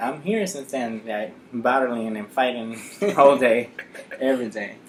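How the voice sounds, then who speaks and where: A man with a Dominican accent at medium pitch, big swings in loudness, and noticeable background noise. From Dominican Republic, Santo Domingo. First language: Spanish. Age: 20s. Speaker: nurse. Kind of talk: interview.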